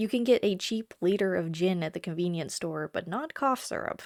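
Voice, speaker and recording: In a plain, everyday voice, a woman speaks at a moderate pace with lively intonation, the sound dry and close with no echo. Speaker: travel vlogger. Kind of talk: casual talk to camera.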